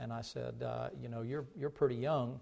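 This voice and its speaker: A man's voice with a dark, mellow tone. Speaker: pastor. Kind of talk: sermon. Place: church.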